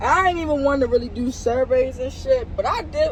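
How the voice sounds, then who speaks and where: In a Baltimore accent, a woman speaks over noticeable background noise. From Baltimore, Maryland, US. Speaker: YouTube vlogger. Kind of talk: casual vlog Q&A. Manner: casual, filler-heavy.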